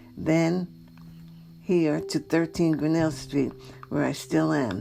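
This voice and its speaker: Background music can be heard. A woman talks at a moderate speed over it. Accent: American. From New York. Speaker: longtime resident. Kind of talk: oral history interview.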